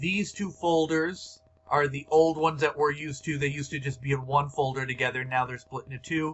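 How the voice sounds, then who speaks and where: A man keeps his fairly high-pitched speech in fairly even intonation. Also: fairly quick pace. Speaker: teacher training staff on grading; teacher or school staff. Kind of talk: screen-recorded tutorial. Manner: halting, many fillers. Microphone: webcam.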